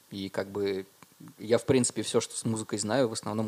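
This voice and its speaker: At a moderate pace, the voice comes across dark and mellow in tone, with monotone, flat intonation. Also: man. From Russia, Murmansk and Dimitrovgrad. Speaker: musician and concert organizer. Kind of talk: casual chat.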